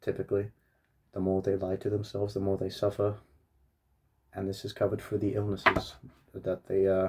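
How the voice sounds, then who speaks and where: A man talks at a fairly quick pace in a fairly low, somewhat breathy voice with a flat monotone. Long pauses come often. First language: Russian. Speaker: book reviewer. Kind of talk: casual book review monologue. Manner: halting, with many fillers and restarts.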